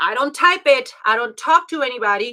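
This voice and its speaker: A woman's high-pitched, raised and projected voice, bright and sharp, with lively intonation at a moderate pace. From Mexico. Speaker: life and health coach. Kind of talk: online class.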